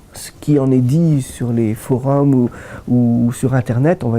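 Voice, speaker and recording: Here a man talks at a medium pitch in a dark, mellow tone. His intonation stays fairly even. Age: 60s. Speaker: doctor, rheumatologist. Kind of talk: interview. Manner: hesitant, many fillers.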